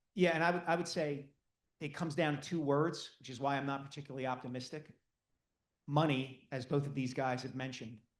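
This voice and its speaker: Using a normal speaking voice, a man with an American accent talks at a fairly quick pace and fairly high pitch with fairly even intonation. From Philadelphia. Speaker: sports columnist. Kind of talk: panel discussion.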